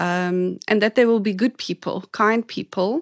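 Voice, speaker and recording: An ordinary speaking voice from a woman, with fairly even intonation, a dry, close sound with no echo, and a quiet background. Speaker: guest play expert, married to a woman. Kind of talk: casual interview chat.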